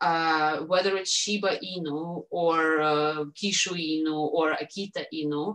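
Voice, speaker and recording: With a Russian accent, a woman speaks at a fairly low pitch and a fairly slow pace, her intonation fairly even and hardly any pauses between words. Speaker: dog owner and Shiba Inu breeder. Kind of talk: podcast interview. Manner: halting, many fillers.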